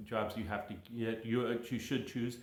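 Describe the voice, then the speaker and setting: A medium-pitched man with an American accent speaks amid noticeable background noise and audible room echo. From California. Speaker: English teacher. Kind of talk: casual monologue to viewers. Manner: casual, halting with many fillers.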